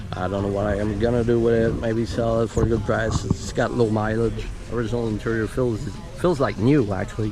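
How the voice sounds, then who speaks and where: A man's fairly low pitch in a French Canadian accent, at a fairly quick pace with fairly even intonation, amid audible room echo and noticeable background noise. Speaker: car enthusiast YouTuber. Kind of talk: casual walkaround chat. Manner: halting.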